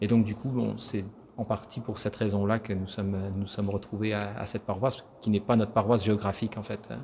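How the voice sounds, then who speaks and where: Fairly quick, somewhat breathy speech in a monotone, flat intonation. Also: man, fairly low pitch for a man. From France. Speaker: church choir singer. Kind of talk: interview. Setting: church. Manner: halting.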